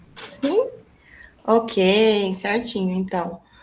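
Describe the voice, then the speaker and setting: This woman has a fairly high voice. She talks very slowly. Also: very clean recording, silent background. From small town in interior of Minas Gerais, Brazil. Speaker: English teacher and researcher. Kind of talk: academic presentation.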